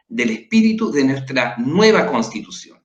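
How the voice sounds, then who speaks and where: A man's voice with very wide pitch swings. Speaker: political candidate and show host. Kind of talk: panel discussion. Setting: livestream.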